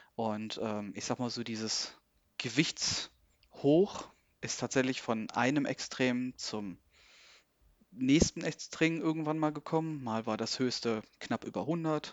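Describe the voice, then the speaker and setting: A man with a medium-pitched voice talks very slowly, his pitch varying in an ordinary way. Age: 30s. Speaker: logistics worker, coaching client. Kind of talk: interview about personal weight-loss story. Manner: hesitant, many fillers.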